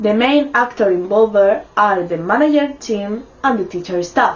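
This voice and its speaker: A woman's fairly high-pitched voice with a non-native accent and ordinary pitch variation, over noticeable background noise. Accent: non-native English pronunciation. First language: Spanish. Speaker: university student. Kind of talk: student presentation.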